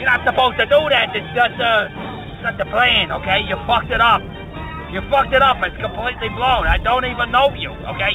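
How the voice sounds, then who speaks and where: A man talks at a fairly quick pace in an extremely high voice with fairly even intonation. The sound is dry with no echo, and music plays clearly in the background. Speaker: caller. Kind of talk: rambling comedic voicemail rant. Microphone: phone line.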